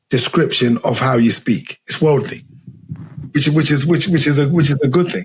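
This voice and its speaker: Speaking with a Zimbabwean accent, a man uses a fairly high, somewhat breathy voice at a moderate pace with ordinary pitch variation. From England, raised from age four after leaving Zimbabwe. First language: Shona. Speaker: podcast host. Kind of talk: interview conversation. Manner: halting, repetitive.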